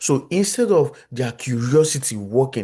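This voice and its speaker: A man with a strong Nigerian accent, very wide pitch swings and a fairly slow pace, against a quiet background. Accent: thick Nigerian. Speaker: psychologist, conference speaker. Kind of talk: lecture. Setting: video call.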